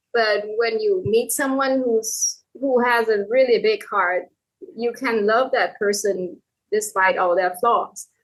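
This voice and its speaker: With a Thai accent, a woman speaks at a fairly high pitch and ordinary pitch variation. Her pace is very slow. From Thailand. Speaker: novelist. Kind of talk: casual chat.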